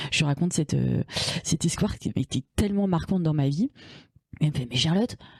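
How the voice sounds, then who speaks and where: Speaking at a very fast pace, a woman sounds somewhat breathy, with lively intonation and long, frequent pauses. The sound is dry and close, with no echo. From France, Paris suburbs. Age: 40s. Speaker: podcast guest, feminist activist. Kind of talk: casual interview chat. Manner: halting, many fillers.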